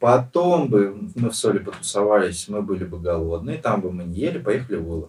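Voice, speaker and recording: Somewhat breathy and fairly low-pitched, a man speaks at a moderate pace with lively intonation. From Russia, Western Siberia (Nizhnevartovsk). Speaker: bar owner and restaurateur. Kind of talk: casual interview. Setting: podcast studio.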